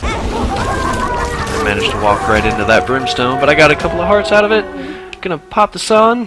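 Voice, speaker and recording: There is music in the background as a man speaks. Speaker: gaming video creator. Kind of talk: let's play commentary. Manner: stuttering.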